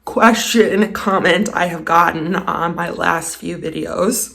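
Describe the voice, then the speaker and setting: There is noticeable background noise as a woman talks at a medium pitch. She speaks at a fairly slow pace with ordinary pitch variation. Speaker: DIY home renovation vlogger. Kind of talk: casual vlog narration. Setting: indoors at home.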